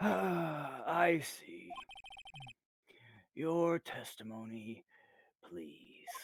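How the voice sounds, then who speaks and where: Middle-pitched, a put-on character voice moves at a very slow pace. Long, frequent pauses break up the speech. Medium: actual play. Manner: formal, measured.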